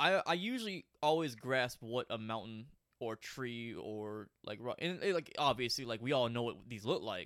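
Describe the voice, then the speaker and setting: At a moderate pace, a man with a plain, everyday voice speaks at medium pitch with lively intonation. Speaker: artist, host's brother. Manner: joking, crude humor.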